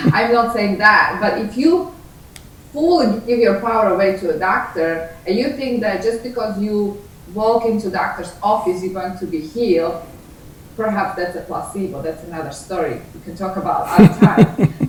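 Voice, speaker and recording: A woman's intonation rises and falls in a lively way while noticeable noise hums behind her. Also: medium pitch for a woman, moderate pace. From Slovakia. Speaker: author, attorney. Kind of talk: interview answer.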